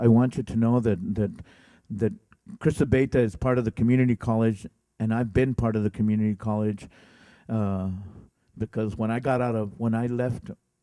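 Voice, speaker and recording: A man speaks fairly quickly at medium pitch, his tone dark and mellow, with long, frequent pauses. His intonation is fairly even, and the sound is dry and close with no echo. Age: 60s. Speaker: college board member and war veteran. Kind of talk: speech to staff. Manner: halting, many repetitions; informal, conversational.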